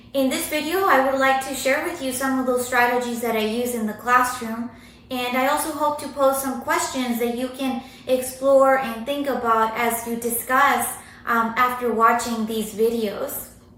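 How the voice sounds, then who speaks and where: Audible room echo and noticeable background noise surround a voice with fairly even intonation. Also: woman, high pitch for a woman, moderate pace. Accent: Spanish. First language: Spanish. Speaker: university writing instructor. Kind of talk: recorded academic presentation. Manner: hesitant with many fillers.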